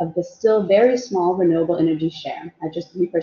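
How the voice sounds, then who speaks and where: A woman speaks in an ordinary speaking voice at a medium pitch. Her pitch rises and falls in an ordinary way. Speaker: renewable energy policy researcher. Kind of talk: webinar presentation. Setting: video call.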